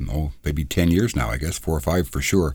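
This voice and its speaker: A man speaks with a very deep, low voice and vocal fry. His pace is fairly quick. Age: 60s. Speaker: trucking podcast host. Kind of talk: interview.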